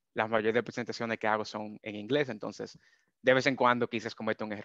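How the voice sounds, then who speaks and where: A man with a medium pitch talks at a fairly quick pace, his tone bright and sharp. His intonation is monotone and flat, and the sound is dry with no echo against a quiet background. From Dominican Republic. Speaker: data scientist. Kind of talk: webinar presentation. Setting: video call. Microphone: video call.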